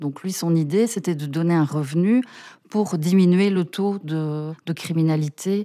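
Fairly low in pitch, a woman speaks at a fairly slow pace with ordinary pitch variation, a plain, everyday voice. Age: 40s. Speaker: political aide and researcher. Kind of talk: interview.

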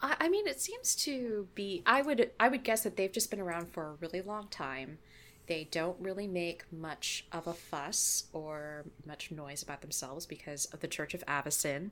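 A woman with an American accent and an unremarkable speaking voice talks at a moderate pace with hardly any pauses. Her pitch is fairly low, and her intonation is lively. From California. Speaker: podcaster and writer. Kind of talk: casual chat.

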